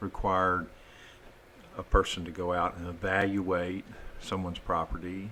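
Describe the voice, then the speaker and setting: A man's very deep, low voice with a bright, sharp tone and a Texan accent, at a fairly slow pace. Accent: Texan US Southern. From southeast Texas. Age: 60s. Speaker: wastewater system designer, business owner. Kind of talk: podcast interview.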